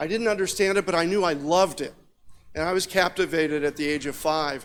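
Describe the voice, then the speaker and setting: A man with an American accent talks at a very fast pace in a high pitch with ordinary pitch variation, on a very clean recording with a silent background. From US Midwest, Indiana. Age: 60s. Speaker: engineer and ham radio operator. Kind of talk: conference talk.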